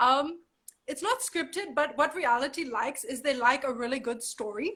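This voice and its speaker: The voice is raised and projected, animated, with a bright, sharp tone. Intonation is lively and the pace fairly quick. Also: woman. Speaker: model and actor. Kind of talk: casual interview chat. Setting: live video chat from home.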